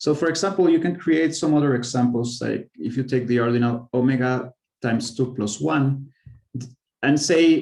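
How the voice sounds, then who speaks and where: Here a man talks at a moderate pace. His voice sits at a medium pitch. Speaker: mathematician giving a research talk. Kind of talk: lecture. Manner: halting, with fillers and self-corrections.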